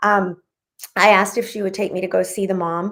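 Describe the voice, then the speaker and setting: A woman speaks fairly quickly with a Spanish accent. Her pitch is medium and her intonation fairly even. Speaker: author. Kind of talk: interview.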